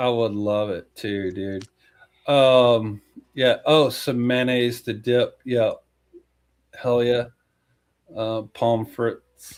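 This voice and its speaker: A man talks in a Texan accent at a very slow pace. His speech has long, frequent pauses. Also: medium pitch for a man, fairly even intonation. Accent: Texan American. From Texas. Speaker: podcast co-host. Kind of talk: casual chat.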